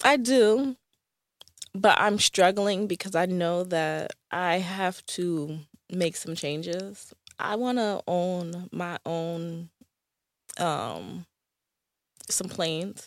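With a Northeastern US accent, a woman speaks at a very slow pace and a fairly low pitch, with ordinary pitch variation and long, frequent pauses, in a very clean recording with a silent background. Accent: American, Northeast. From US Northeast. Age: 30s. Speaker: travel consultant and content creator. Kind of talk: casual interview. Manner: many filler words.

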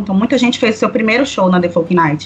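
A woman talking at a very fast pace with lively intonation over noticeable background noise. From Belém do Pará, northern Brazil. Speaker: singer-songwriter and cultural producer. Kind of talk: casual chat.

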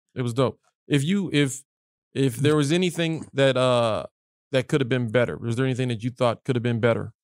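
In a normal speaking voice of medium pitch, a man talks at a fairly quick pace with ordinary pitch variation. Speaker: comedian podcast host. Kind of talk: casual banter chat. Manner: joking, crude humor.

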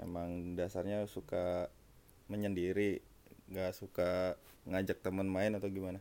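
With a Jakarta accent, a man speaks in a very deep, low pitch with a dark, mellow tone and monotone, flat intonation. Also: fairly slow pace. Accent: sounds like South Jakarta speech. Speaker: podcast co-host, office worker. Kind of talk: casual chat.

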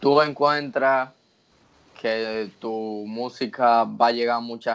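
Speaking very slowly with a Dominican accent, this voice keeps a fairly even intonation while its loudness swings widely. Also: man, medium pitch for a man. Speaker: podcast host. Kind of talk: casual podcast chat.

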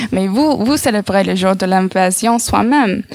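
A woman talks with an American accent at a fairly slow pace. Her pitch varies in an ordinary way. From United States. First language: English (speaking French). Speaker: radio columnist. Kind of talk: read-out column.

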